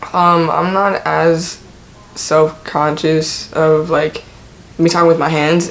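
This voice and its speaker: Over noticeable background noise, a man speaks at a fairly high pitch. His intonation is flat and monotone. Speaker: YouTuber. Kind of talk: personal vlog. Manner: casual, filler-heavy.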